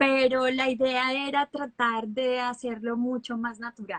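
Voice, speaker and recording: A woman speaks very slowly at a high pitch, in a dry, close sound with no echo. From Colombia, Bucaramanga (Santander). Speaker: actress. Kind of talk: interview.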